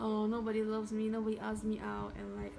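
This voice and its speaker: Over background music, a woman talks at a fairly quick pace. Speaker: tarot reader. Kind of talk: tarot reading monologue. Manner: casual, filler-heavy.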